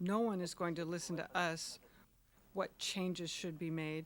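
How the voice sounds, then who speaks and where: Flat and monotone, a woman speaks at a moderate pace with a fairly low pitch. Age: 80s+. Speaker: elderly villager interviewee. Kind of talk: interview.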